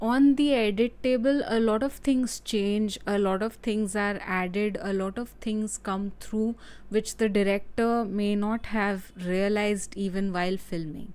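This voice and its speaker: With hardly any pauses, a woman talks at a fairly slow pace in a medium pitch and fairly even intonation, on a very clean recording with a silent background. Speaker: film analysis YouTuber. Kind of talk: live stream film analysis. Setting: live stream. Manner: hesitant, many fillers.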